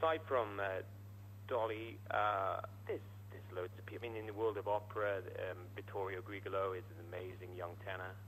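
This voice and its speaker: Fairly quick and with fairly even intonation, the speech carries audible room echo. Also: man, fairly low pitch for a man. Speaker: singer. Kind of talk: radio interview. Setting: phone call. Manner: halting.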